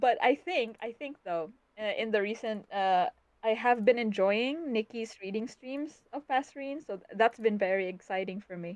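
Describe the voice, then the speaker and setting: With a Philippine accent, a woman speaks at a moderate pace and a fairly high pitch. Her intonation is lively and her loudness swings widely. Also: dry, close sound with no echo. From Philippines (Bisaya-speaking region). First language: Bisaya. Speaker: web fiction author. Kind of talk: live-stream interview. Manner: halting.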